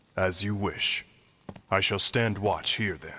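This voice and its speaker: The pace runs fairly slow. This is a put-on character voice. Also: man, fairly low pitch for a man. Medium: video game. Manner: formal, composed.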